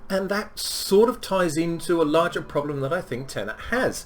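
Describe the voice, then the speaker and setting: A man with a fairly high pitch talks at a moderate pace while noticeable noise fills the background. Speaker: film reviewer. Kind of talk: casual film review talk. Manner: hesitant, many filler ums.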